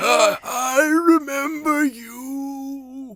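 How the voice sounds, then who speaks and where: A put-on character voice, raspy and high in pitch. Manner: creepy, menacing.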